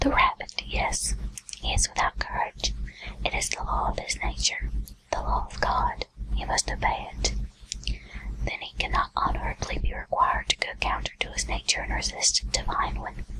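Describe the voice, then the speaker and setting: Someone whispers over noticeable background noise. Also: moderate pace. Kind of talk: whispered audiobook-style reading of a literary text. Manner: whispered, ASMR.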